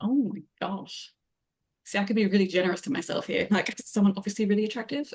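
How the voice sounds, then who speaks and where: A somewhat breathy woman at a medium pitch, with ordinary pitch variation and a very fast pace. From Australia. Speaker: fiction writer and writing coach. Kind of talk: casual chat.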